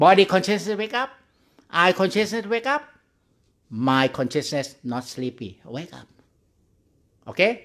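A man's high voice at a fairly slow pace, with very wide pitch swings, big swings in loudness, long, frequent pauses and a quiet background. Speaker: Buddhist monk meditation teacher. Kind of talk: guided meditation. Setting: online video call. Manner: slow, calm, gently instructing with pauses; simple, repetitive, halting English. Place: hall. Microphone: studio mic.

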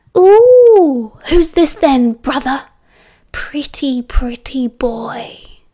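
A woman puts on a character voice that is high-pitched. She speaks at a very slow pace. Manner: gloating, mocking.

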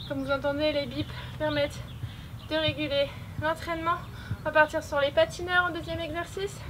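Over noticeable background noise, the speech moves at a fairly quick pace with a monotone, flat intonation. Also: woman, high pitch for a woman. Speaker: fitness coach. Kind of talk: workout tutorial instructions. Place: open country.

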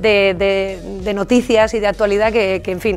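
A woman's monotone, flat delivery with faint music in the background. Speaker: radio journalist and presenter, university lecturer. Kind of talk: interview answer. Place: studio. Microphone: studio mic.

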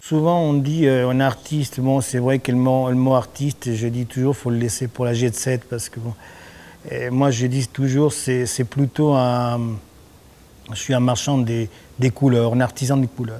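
Intonation stays fairly even as the speaker moves at a fairly slow pace. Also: man. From Argentina, Buenos Aires. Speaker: painter. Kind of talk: interview. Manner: halting, many repetitions and fillers. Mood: relaxed, warm. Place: workshop.

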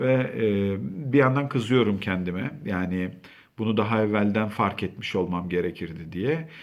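A man speaks at a fairly low pitch. His pace is fairly slow, and audible room echo surrounds him. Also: lively intonation. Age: 40s. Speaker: school counselor. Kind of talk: talk to camera. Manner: conversational.

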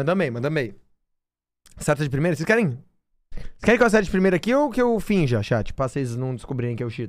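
At a fairly quick pace, a man with a fairly high pitch talks with very wide pitch swings. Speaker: streamer. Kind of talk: live gaming stream chat. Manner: animated.

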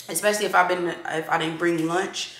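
Over audible room echo, a woman speaks at a moderate pace with a medium pitch. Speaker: lifestyle vlogger. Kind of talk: casual chat.

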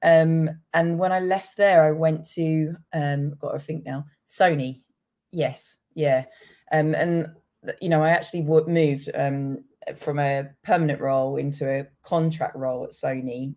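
Against a quiet background, the voice has a dark, mellow tone, a fairly slow pace and fairly even intonation. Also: woman, very deep, low pitch for a woman. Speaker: remote podcast guest. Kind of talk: interview answer. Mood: friendly, reflective. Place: kitchen.

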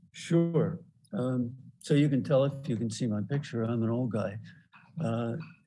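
The voice has a dark, mellow tone and ordinary pitch variation, moving at a fairly slow pace. Long, frequent pauses break it up, over noticeable background noise. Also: man, medium pitch for a man. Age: 70s. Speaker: panelist. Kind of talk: panel discussion. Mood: reflective, encouraging. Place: home room. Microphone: video call.

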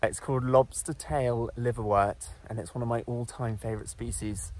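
Recorded dry with no echo, a man speaks at a moderate pace. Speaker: presenter. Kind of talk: nature vlog explanation. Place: forest. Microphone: phone near.

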